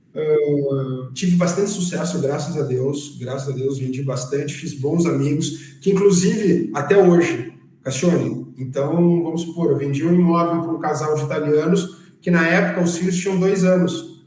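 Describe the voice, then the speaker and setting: The speaker's intonation stays fairly even, with noticeable background noise and audible room echo. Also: man, fairly high pitch for a man, moderate pace. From interior of São Paulo state, Brazil. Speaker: real estate agent. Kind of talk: podcast interview.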